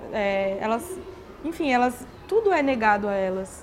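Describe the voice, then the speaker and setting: With noticeable background noise, a woman speaks at a moderate pace and her pitch swings very widely. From Brazil, interior of São Paulo state. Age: 20s. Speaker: teacher-training course participant. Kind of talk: interview. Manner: hesitant, many fillers.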